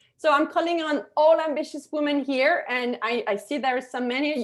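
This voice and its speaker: The speaker has a slight French accent and talks at a moderate pace. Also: woman. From France. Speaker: digital marketing consultant. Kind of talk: webinar presentation. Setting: webinar video call. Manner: animated, many filler words.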